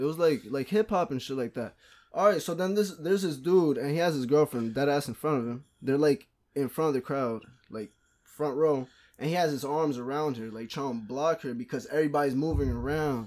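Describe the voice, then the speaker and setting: A man talks fairly fast in an unremarkable speaking voice, with ordinary pitch variation, on a very clean recording with a silent background. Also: fairly high pitch for a man. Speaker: podcast guest. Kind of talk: casual chat.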